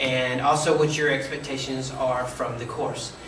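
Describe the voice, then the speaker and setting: A man speaks in a monotone, flat way. There is audible room echo and noticeable background noise. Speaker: college instructor. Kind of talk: lecture. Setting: recorded video lecture. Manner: fast.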